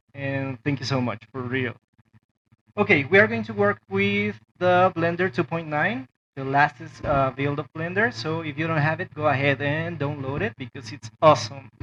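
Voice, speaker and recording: At a moderate pace, a man speaks with a fairly high pitch, ordinary pitch variation and a bright, sharp tone over light background noise. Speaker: toy maker and 3D modeling tutor; 3D modeling tutor. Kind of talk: tutorial. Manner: hesitant, many fillers. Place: home room.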